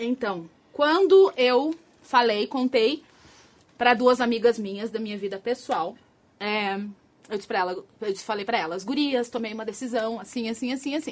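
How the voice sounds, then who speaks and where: Using lively intonation at a fairly high pitch, a woman speaks at a moderate pace with long, frequent pauses. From Rio Grande do Sul, Brazil (Porto Alegre area). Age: 30s. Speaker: escort. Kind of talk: casual interview on a live stream.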